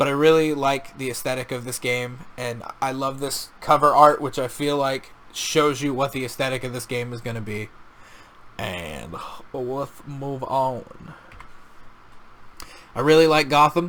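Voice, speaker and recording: A man's voice amid noticeable background noise, with big swings in loudness and long, frequent pauses. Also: medium pitch for a man. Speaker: video game and media reviewer. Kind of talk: casual review monologue. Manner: fast; animated, halting with restarts.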